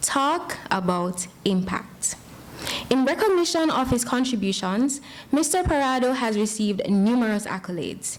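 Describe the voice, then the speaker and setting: Over noticeable background noise, the voice moves at a moderate pace with very wide pitch swings. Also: woman. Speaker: event host introducing keynote speaker. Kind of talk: formal introduction. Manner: passionate.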